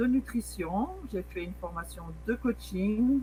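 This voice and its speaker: A woman is talking. She goes at a very slow pace. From Switzerland. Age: 40s. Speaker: wellness coach. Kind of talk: online presentation.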